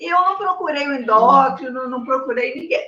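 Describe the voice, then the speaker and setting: A woman's high, raised and projected voice with ordinary pitch variation. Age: 60s. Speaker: patient with diabetes. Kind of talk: consultation.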